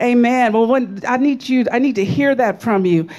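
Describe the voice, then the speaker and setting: Ordinary pitch variation shapes the speech. The speaker is a woman. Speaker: preacher. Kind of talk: sermon. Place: church. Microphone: handheld.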